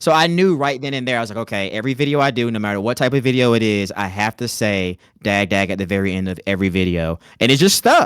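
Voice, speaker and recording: Recorded very cleanly, with a silent background and a dry, close, echo-free sound, a man with an American accent talks at a fairly quick pace with lively intonation. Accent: Southern twang, fading somewhat. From US South, rural North Carolina. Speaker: content creator. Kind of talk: casual chat.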